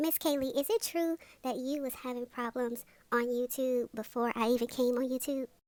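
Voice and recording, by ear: In a cartoonish character voice, a woman speaks at a high pitch and a moderate pace with fairly even intonation, the sound dry and close with no echo.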